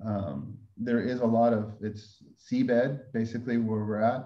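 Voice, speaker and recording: A man speaks with a fairly low pitch and fairly even intonation. There is audible room echo in the recording. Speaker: winemaker. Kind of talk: webinar presentation. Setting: video webinar.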